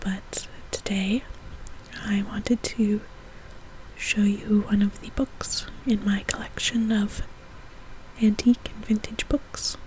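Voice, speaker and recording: A woman whispers at a very slow pace amid noticeable background noise, her loudness swinging widely between long, frequent pauses. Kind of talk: casual talk to camera. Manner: soft-spoken.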